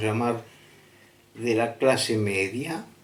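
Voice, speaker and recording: Audible room echo surrounds the voice. A man speaks at medium pitch. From Argentina, Buenos Aires. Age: 70s. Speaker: storyteller of personal paranormal experiences. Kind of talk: personal testimony. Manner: halting, many fillers.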